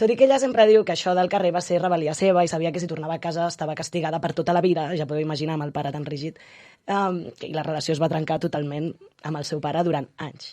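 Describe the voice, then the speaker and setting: Speaking at a very fast pace, a woman with a fairly low pitch and a dark, mellow tone shows ordinary pitch variation and big swings in loudness. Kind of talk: casual conversation.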